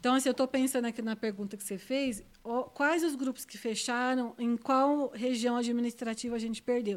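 Against a silent background in a very clean recording, a woman with a high pitch talks at a fairly quick pace with fairly even intonation. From interior of São Paulo state (Ribeirão Preto). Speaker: scout leader. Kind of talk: casual interview.

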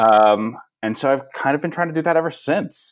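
Here a man speaks with a Californian accent. His intonation is lively. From Los Angeles, San Fernando Valley. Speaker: TV writer and showrunner. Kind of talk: interview. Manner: halting, with frequent fillers and repetitions.

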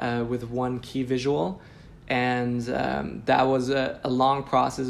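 A man's medium-pitched voice amid audible room echo. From Switzerland (Zurich). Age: 20s. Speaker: lettering artist. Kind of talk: casual interview.

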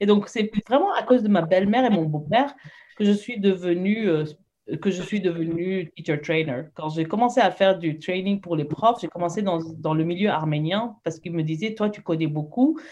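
With a normal speaking voice, the talker moves at a moderate pace and shows ordinary pitch variation. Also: woman, medium pitch for a woman. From moved around, Saudi Arabia and Lebanon; Armenian-French family. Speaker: teacher. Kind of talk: casual interview.

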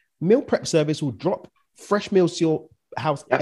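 Speaking with a London accent over a quiet background, a man uses a fairly high pitch and a dark, mellow tone that is somewhat breathy. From East London, England. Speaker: business and mindset coach. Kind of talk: casual interview.

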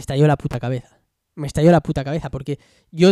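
In a very clean recording against a silent background, a man talks at a fairly quick pace with a dark, mellow tone and fairly even intonation. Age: 20s. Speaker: podcaster, former graffiti business owner. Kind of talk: solo podcast monologue. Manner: casual, hesitant with many fillers.

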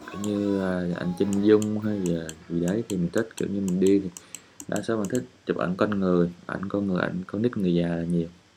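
Noticeable background noise accompanies speech at a fairly quick pace. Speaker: podcast host and travel photographer. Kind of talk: casual monologue while editing photos. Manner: relaxed, confiding.

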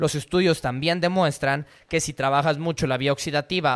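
A man with a fairly high pitch and an unremarkable speaking voice talks at a moderate pace. His intonation is fairly even, and the recording is very clean with a silent background. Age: 20s. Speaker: podcast host, fitness coach. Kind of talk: solo podcast monologue, reading and commenting an article.

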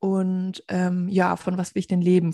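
Somewhat breathy and dark, mellow in tone, a woman speaks at a fairly slow pace in a dry, close recording with no echo and a silent background. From southern Germany, near Stuttgart (Swabia). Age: 20s. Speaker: podcast co-host, virtual assistant. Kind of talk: casual chat.

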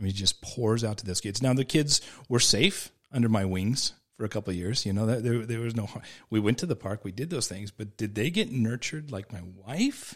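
Against a very clean recording with a silent background, a man with a plain, everyday voice talks at a fairly quick pace, at medium pitch with ordinary pitch variation. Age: 40s. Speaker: surf shop owner. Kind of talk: casual Bible discussion. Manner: frequent repetitions and restarts.

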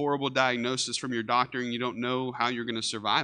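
A man with a Texan accent, very fast, monotone and flat, with a bright, sharp tone against a quiet background. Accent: Texan Southern US. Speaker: pastor. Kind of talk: sermon. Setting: church. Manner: casual, conversational.

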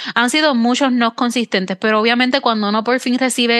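In a Puerto Rican accent, a woman speaks with a fairly high pitch and monotone, flat intonation. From Puerto Rico. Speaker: podcast host. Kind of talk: casual interview conversation.

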